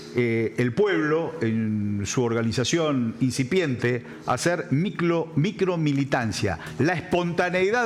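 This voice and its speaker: Very wide pitch swings and very even loudness over noticeable background noise. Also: man. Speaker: political talk show panelist. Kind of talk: political panel discussion.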